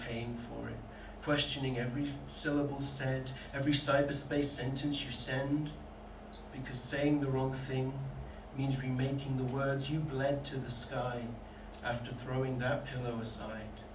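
Speech comes at a fairly slow pace in a monotone, flat intonation. Background noise is noticeable. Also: man. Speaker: poet. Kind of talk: spoken word poetry performance, read aloud from the page. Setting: stage with live audience at a pub event. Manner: earnest, vulnerable and deliberate, with emotional weight. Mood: earnest, emotional. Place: stage.

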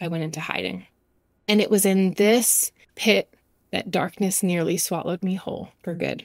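A woman talks at a moderate pace. Her voice carries vocal fry. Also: medium pitch for a woman, fairly even intonation, very clean recording, silent background. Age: 40s. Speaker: podcast host, Bible teacher. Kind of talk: devotional podcast monologue.

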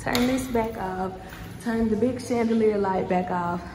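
Over light background noise, a woman with an American accent speaks at a fairly high pitch with ordinary pitch variation. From Texas. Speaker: lash artist and vlogger; vlogger. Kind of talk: vlog. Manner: animated.

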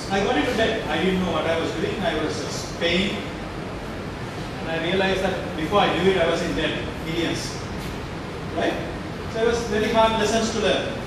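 A man talks at a moderate pace with ordinary pitch variation and long, frequent pauses. Audible room echo and loud background noise surround him. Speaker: speaker. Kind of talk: motivational talk to students. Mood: candid, self-deprecating. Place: hall.

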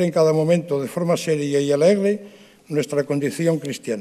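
A man with a fairly high pitch and ordinary pitch variation speaks in a dark, mellow tone over a quiet background. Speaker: president of the brotherhoods council. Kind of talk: formal speech. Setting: theatre stage with audience. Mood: solemn, emotive. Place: stage. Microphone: podium.

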